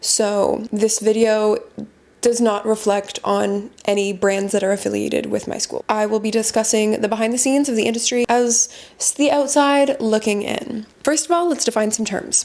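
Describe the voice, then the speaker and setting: Over noticeable background noise, a woman with a Canadian accent speaks at a moderate pace, her fairly high pitch showing ordinary variation. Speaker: fragrance content creator. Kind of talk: informational vlog talk. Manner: casual, conversational.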